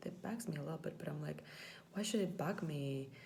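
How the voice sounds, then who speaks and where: A woman with a Latvian accent speaks at a moderate pace in a very deep, low voice with lively intonation. Audible room echo and noticeable background noise surround her. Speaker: former English teacher, vlogger. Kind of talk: personal vlog reflection. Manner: hesitant, many fillers.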